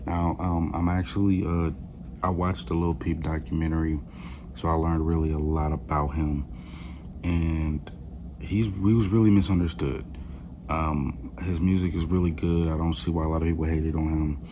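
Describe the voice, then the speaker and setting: A man speaks quietly in a very deep, low pitch at a moderate pace with fairly even intonation. Room echo is audible. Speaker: music reaction youtuber. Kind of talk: casual reaction video. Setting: living room at home. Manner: halting, many fillers.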